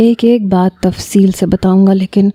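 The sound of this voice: This unforced reading voice holds a fairly even intonation throughout.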